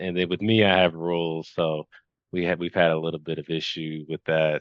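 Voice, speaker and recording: Speaking at a moderate pace with a Kentucky accent, a man has a very deep, low-pitched voice. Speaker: hypnotherapy client. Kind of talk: casual chat. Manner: halting.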